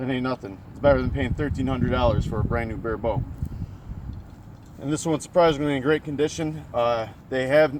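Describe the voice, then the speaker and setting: Medium-pitched male speech at a fairly quick pace, with ordinary pitch variation and noticeable background noise. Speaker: bow hunting reviewer. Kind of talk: product review. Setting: outdoors.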